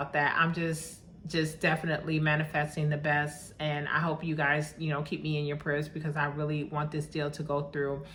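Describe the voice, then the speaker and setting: A woman speaks in a very deep, low, monotone voice with flat intonation. She barely pauses, and the room echo is audible. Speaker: vlogger buying property abroad. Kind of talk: casual vlog monologue. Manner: fast.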